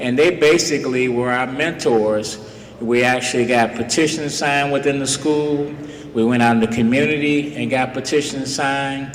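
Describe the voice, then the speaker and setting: Over noticeable background noise and audible room echo, a man with an American accent speaks at a moderate pace, his fairly high pitch carrying fairly even intonation. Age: 70s. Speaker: retired police officer speaking at a school. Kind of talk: speech to students.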